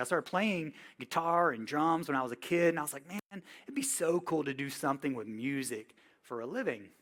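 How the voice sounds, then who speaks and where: In a very clean recording with a silent background, a man with a Southern US accent speaks fairly quickly at a fairly high pitch, with lively intonation. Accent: Southern US (Georgia). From US South, Georgia (Villa Rica, near Atlanta). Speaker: touring music tech and workshop instructor. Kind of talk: workshop lecture. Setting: classroom with live audience. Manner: casual, conversational.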